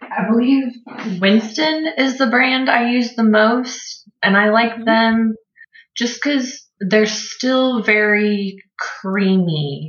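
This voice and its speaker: A woman speaks at a very slow pace with an American accent. Her pitch is fairly high and varies in an ordinary way. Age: 20s. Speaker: painter. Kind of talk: casual chat.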